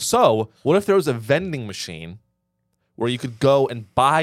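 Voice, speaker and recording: Recorded very cleanly against a silent background, a man speaks. He keeps a moderate pace. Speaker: podcast co-host. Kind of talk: comedic pitchman parody, mock radio-ad sales pitch; casual comedic chat. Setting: studio. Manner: animated, salesy, exaggerated infomercial patter; joking, sarcastic, bantering.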